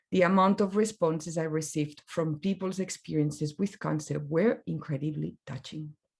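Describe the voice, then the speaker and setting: With a non-native accent, a woman speaks at a very deep, low pitch. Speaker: graphic designer. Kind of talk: presentation talk.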